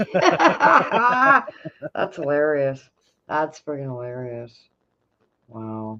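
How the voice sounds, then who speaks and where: Very slow speech in a Canadian accent, broken by long, frequent pauses. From Canada. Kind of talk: casual chat.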